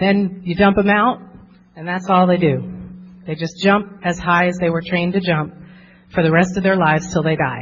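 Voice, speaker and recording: Here a woman speaks in an American accent at a moderate pace. Her medium-pitched voice is somewhat breathy, with fairly even intonation. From New Jersey. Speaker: therapist. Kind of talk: workshop talk.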